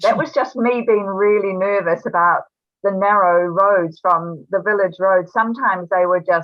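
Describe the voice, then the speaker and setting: Speaking in a New Zealand accent, a woman uses a medium pitch. Her pace is moderate and her intonation fairly even. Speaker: author. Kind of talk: interview answer. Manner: casual, hesitant.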